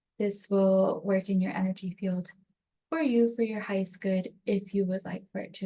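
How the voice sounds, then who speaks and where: A woman speaks at a moderate pace with a medium pitch. Her tone is dark and mellow, and somewhat breathy. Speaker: energy healing practitioner. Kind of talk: guided tapping session introduction. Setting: home recording on computer.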